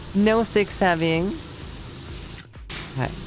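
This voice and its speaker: The voice has a relaxed tone and a strong Swedish accent. Music plays in the background. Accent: Swedish accent in English, thick. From Sweden. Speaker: streamer. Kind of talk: casual chat. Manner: halting, repeats words; relaxed, low energy.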